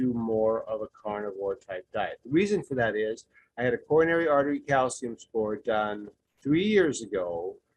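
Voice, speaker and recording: Medium-pitched male speech with lively intonation. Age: 60s. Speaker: support group participant. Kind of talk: testimony. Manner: halting.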